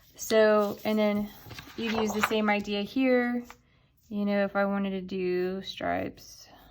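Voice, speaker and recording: A woman's medium-pitched, monotone, flat delivery at a fairly slow pace, over noticeable background noise. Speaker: art teacher. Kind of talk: tutorial.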